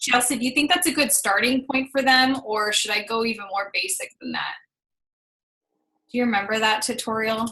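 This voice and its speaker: This woman has a fairly high pitch with ordinary variation. Her tone comes across bright and sharp. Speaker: business coach. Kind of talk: team call tutorial. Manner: fast.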